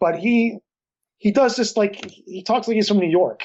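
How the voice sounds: At a moderate pace, a man speaks in a high pitch with ordinary pitch variation and a slightly mellow tone.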